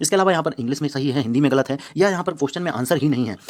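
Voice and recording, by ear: The speech moves at a very fast pace. The tone is slightly mellow. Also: man, fairly high pitch for a man, ordinary pitch variation.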